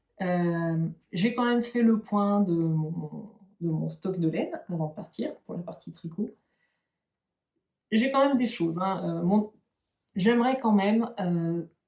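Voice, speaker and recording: A woman with a medium pitch and a somewhat breathy voice speaks very slowly, with long, frequent pauses. Her intonation is lively. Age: 40s. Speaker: knitting and sewing YouTuber. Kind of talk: casual vlog talk to viewers. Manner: hesitant, many filler sounds.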